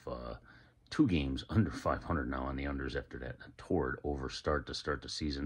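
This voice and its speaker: Against a quiet background, a man talks at a moderate pace with vocal fry. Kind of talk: sports betting pick announcement. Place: home room. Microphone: phone near.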